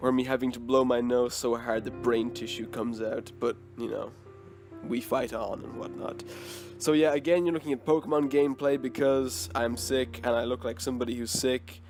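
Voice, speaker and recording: A man at medium pitch with lively intonation, music playing in the background. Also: moderate pace. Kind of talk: casual talk to camera.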